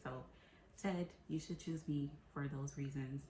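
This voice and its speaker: A woman with an American accent has a very deep, low pitch and a somewhat breathy quality, with fairly even intonation. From Tampa, Florida. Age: 30s. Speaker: cooking show applicant. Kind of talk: audition video, casual talk to camera.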